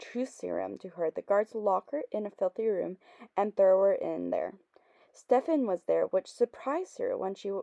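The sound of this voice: Someone reads the text in an unforced reading voice.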